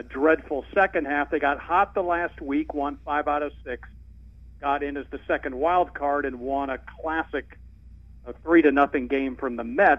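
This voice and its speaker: This is a normal speaking voice, moving along at a moderate pace. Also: man. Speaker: sports radio host and baseball announcer. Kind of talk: casual sports talk interview. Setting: phone call.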